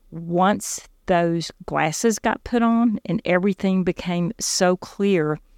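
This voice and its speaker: In a Southern US accent, a woman talks at a fairly slow pace, with a dry, close sound with no echo. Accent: Southern US (Georgia). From US South, South Georgia. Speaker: faith testimony guest, former medical office worker. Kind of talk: personal testimony.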